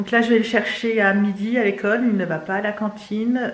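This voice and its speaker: Amid noticeable background noise and audible room echo, a woman talks with monotone, flat intonation. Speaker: family vlogger, mother of three. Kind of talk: casual vlog talk to camera. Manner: fast; hesitant, many fillers.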